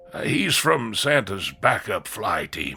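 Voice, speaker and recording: Using a raspy, put-on character voice, a man talks at a fairly slow pace and a medium pitch. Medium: audio drama. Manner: dry, deadpan.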